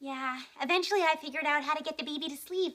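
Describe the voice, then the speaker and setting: A woman talks very fast in a put-on character voice, high-pitched, with fairly even intonation. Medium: short film. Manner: volatile, shrill outbursts.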